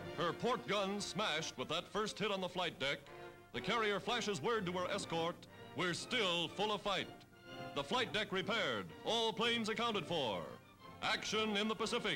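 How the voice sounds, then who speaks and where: Music plays in the background as a high-pitched man with an American accent projects a raised voice with ordinary pitch variation and very even loudness. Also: moderate pace. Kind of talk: newsreel narration.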